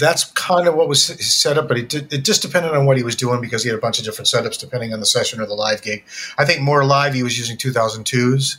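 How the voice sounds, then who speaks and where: A man with an American accent speaks at a very fast pace and a fairly high pitch. Noticeable background noise runs under his voice. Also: ordinary pitch variation. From upstate New York, Syracuse. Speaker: former cymbal company artist relations manager. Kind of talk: casual interview chat.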